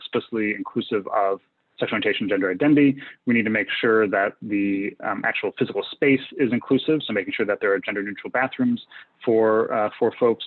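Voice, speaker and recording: Speaking very fast, a man keeps a medium pitch. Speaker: physician and medical professor. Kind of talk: lecture. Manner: many filler words.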